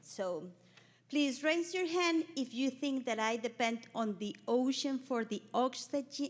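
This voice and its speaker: A woman with a Spanish accent, high-pitched, at a fairly slow pace with very wide pitch swings. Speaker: conservation practitioner, panelist. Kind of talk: panel presentation.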